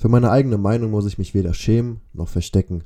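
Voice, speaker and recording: A man speaks in a dark, mellow tone at a fairly low pitch. His pace is moderate and his pitch variation ordinary. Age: 20s. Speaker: podcaster, student. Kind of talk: podcast intro monologue. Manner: casual.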